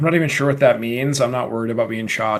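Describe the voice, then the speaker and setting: A man talks with a Minnesotan accent. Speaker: podcast co-host, electrical engineer. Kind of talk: casual debate. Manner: animated.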